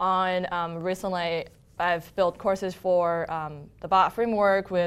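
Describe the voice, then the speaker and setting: Recorded very cleanly against a silent background, the voice moves at a fairly slow pace. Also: woman. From China (Harbin, northeast). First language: Mandarin Chinese. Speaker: software engineer and content producer. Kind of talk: casual interview. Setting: studio.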